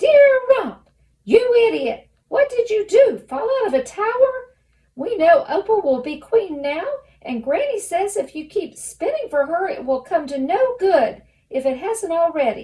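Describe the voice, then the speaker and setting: Shouting in a raised, projected voice, a squeaky put-on character voice swings very widely in pitch at a moderate pace. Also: woman, extremely high pitch for a woman. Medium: read story. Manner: half shouting, eager.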